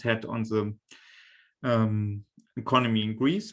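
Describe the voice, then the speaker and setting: At a fairly slow pace, a man of medium pitch speaks in a monotone, flat way. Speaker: researcher. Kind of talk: lecture. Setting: video call. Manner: halting, many fillers.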